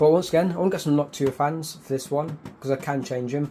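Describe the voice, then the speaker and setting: A man speaks very fast in a British accent, his pitch fairly high for a man. His voice is somewhat breathy, with a dark, mellow tone. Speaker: YouTuber. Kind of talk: setup tour video. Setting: home bedroom. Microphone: cheap mic wrapped in foam.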